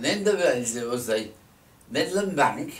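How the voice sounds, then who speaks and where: A man speaks in a Lancashire accent with lively intonation. His pace is fairly slow. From Burscough, Lancashire, England. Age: 80s+. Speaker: elderly local recalling memories. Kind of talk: reminiscing interview answer. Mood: reminiscing, calm. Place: home room. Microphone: camera far.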